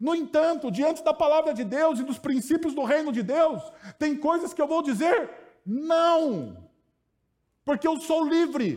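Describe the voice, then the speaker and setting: Speaking at a fairly slow pace, a man with an extremely high pitch sounds animated, his pitch varying in an ordinary way. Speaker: preacher. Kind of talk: sermon. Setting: church. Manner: animated, conversational, humorous; repetitive emphatic phrasing.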